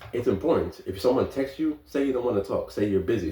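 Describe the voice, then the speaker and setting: A man speaks with a New York accent. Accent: New York (Bronx). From New York, the Bronx. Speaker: vlogger. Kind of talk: casual monologue. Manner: halting.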